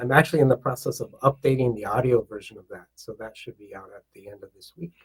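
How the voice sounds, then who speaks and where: Very fast, somewhat breathy delivery with hardly any pauses, ordinary pitch variation and big swings in loudness, in a dry, close sound with no echo. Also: man. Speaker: author and self-love coach. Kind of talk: podcast interview. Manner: warm, conversational.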